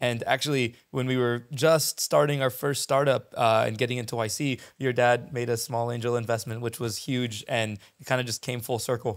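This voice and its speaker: With an American accent, a man speaks at a fairly quick pace in a monotone, flat intonation against a quiet background. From US West Coast, San Diego; California. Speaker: startup founder and CEO; podcast guest. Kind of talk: casual interview. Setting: in person. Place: studio. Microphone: handheld.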